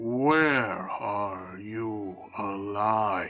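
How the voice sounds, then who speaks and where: A put-on character voice from a man, fairly low in pitch. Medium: actual play. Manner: solemn, questioning.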